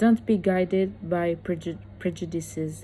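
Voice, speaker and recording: Her voice somewhat breathy and dark, mellow in tone, a woman with an Italian accent speaks at a fairly low pitch with ordinary pitch variation. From Italy. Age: 20s. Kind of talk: motivational talk to camera.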